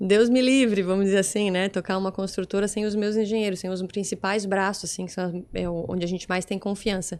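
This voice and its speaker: Using a strong Santa Catarina accent, a woman talks at a fairly quick pace with hardly any pauses and monotone, flat intonation, on a very clean recording with a silent background. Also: medium pitch for a woman. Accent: strong local Itajaí. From Brazil, Itajaí (Santa Catarina coast). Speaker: architect and business association president. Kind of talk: podcast interview. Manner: fast.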